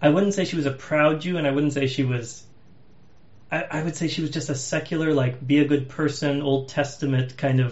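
Somewhat breathy, a man speaks at a fairly quick pace with a fairly high pitch and fairly even intonation. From Massachusetts, US. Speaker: podcast host. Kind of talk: casual chat.

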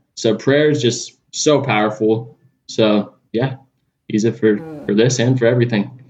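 Speaking with a Californian accent, the man has a medium pitch and ordinary pitch variation. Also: moderate pace. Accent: Californian surfer-style American. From Southern California (Los Angeles area). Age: 20s.

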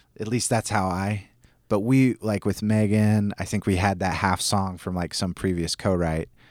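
The intonation is fairly even. Here is a normal speaking voice, unhurried at a moderate pace. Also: man, fairly low pitch for a man. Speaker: singer-songwriter. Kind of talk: casual chat. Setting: in person.

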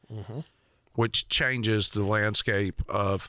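In a Southern US accent, a man with a bright, sharp tone and medium pitch talks at a very slow pace in a very clean recording with a silent background. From rural Georgia, US South. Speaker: podcast host. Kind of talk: casual chat.

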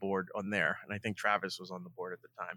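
A man with an American accent talks in a bright, sharp tone. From Long Island, New York. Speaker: radio producer. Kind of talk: casual chat.

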